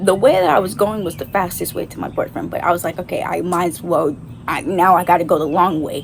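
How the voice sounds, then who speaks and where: Noticeable background noise sits under a woman talking at a very fast pace with ordinary pitch variation. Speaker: vlogger. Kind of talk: storytime. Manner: animated.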